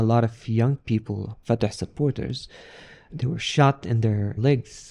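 Speaking with an Arabic accent, a man has a dark, mellow tone. He goes at a fairly slow pace on a very clean recording with a silent background. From Palestinian, raised in a refugee camp in Syria. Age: 40s. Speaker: refugee sharing his story, peace NGO worker. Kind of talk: interview testimony.

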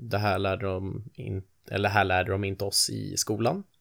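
A man's fairly low voice with vocal fry, on a very clean recording against a silent background. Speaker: podcast host. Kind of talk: casual podcast chat, personal confession. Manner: nervous, anxious.

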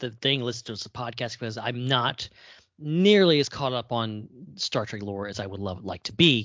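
A man talks at a moderate pace with lively intonation. His is a plain, everyday voice. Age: 30s. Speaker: podcast co-host. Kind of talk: casual chat.

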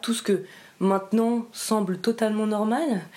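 Her pace is fairly slow. This woman's tone is dark and mellow. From French Alps (Briançon, Hautes-Alpes). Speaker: interviewee sharing life story. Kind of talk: personal interview, testimony. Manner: halting, many hesitations.

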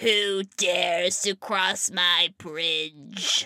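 A woman uses a put-on character voice at medium pitch. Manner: menacing, demanding.

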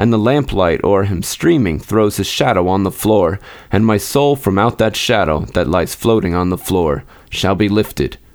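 At a moderate pace and fairly low pitch, a man uses an unremarkable speaking voice with lively intonation and very even loudness. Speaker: podcast host and reader. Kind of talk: literary audiobook reading of Poe horror, dramatic first-person gothic narration.

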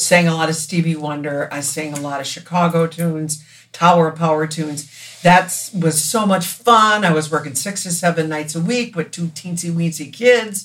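With an American accent, a woman speaks in a somewhat breathy voice at a fairly low pitch, using ordinary pitch variation at a moderate pace. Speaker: singer. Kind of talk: casual chat.

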